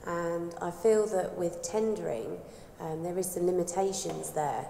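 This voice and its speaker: With audible room echo and noticeable background noise, a woman speaks fairly slowly at a fairly low pitch with ordinary pitch variation. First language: British Sign Language. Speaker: audience member asking a question. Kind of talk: audience question.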